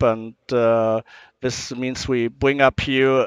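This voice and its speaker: Over a quiet background, a man speaks with a German accent in a dry sound with no echo. His intonation is monotone and flat. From Germany. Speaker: power supply company representative; guest. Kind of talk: interview. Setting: trade show booth. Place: hall. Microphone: headset.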